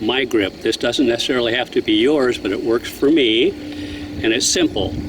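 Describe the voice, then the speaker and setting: Over noticeable background noise, the speaker uses ordinary pitch variation. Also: man. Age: 80s+. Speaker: softball pitching instructor. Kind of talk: tutorial.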